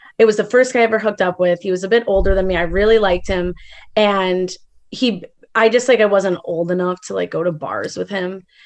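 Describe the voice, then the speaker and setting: An unremarkable speaking voice from a woman with an American accent, medium in pitch, at a fairly quick pace with fairly even intonation. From Chicago. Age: 20s. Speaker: caller. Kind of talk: advice call.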